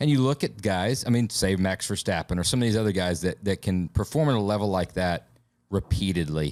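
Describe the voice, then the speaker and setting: A man with a fairly low voice and a slight Southern US accent talks at a fairly quick pace with lively intonation and very even loudness. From Alabama. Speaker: podcast host. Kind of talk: casual chat.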